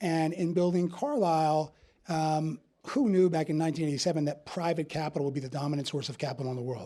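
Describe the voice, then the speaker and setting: In a very clean recording with a silent background, a man with a New Jersey accent speaks at a fairly high pitch with ordinary pitch variation. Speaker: investment firm CEO. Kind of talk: panel interview.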